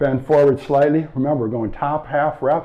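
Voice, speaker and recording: The pace here is fairly quick. It is an unremarkable speaking voice, and its pitch variation is ordinary. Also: man. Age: 60s. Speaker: strength coach. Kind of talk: follow-along workout instruction.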